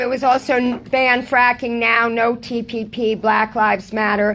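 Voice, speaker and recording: Pitched high, a woman talks at a moderate pace. Noticeable background noise can be heard. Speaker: audience member, political activist. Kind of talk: audience comment at a talk. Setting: book talk with live audience.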